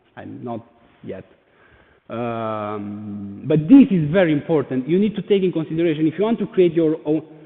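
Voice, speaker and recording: A man with a fairly high voice talks at a moderate pace in a Romanian accent. His pitch swings very widely and his loudness shifts in big swings. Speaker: NFT artist. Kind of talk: presentation. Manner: halting.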